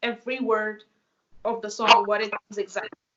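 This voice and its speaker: A woman with a Russian accent, a fairly high pitch and a moderate pace. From Russia, Moscow. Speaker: dancer and choreographer. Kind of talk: interview.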